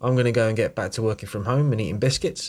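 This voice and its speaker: A man talks at a very fast pace in a somewhat breathy voice. The recording is very clean, with a silent background. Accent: British. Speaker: podcast host. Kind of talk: casual chat; scripted narration.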